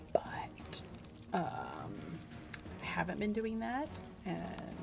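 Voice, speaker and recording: The loudness swings widely, with long, frequent pauses. Noticeable background noise and audible room echo fill the recording. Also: woman. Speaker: gaming streamer. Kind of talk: casual chat. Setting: live stream. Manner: animated.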